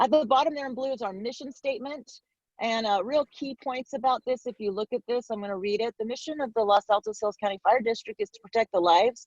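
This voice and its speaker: Very fast delivery with big swings in loudness and ordinary pitch variation, the sound dry and close with no echo. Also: woman, fairly high pitch for a woman. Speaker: fire safety educator, retired fire captain. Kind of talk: presentation.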